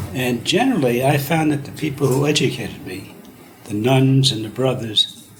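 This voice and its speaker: The voice shows ordinary pitch variation and big swings in loudness, with audible room echo and noticeable background noise. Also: man. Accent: American. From US Northeast (Brooklyn, New York City). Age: 70s. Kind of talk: interview.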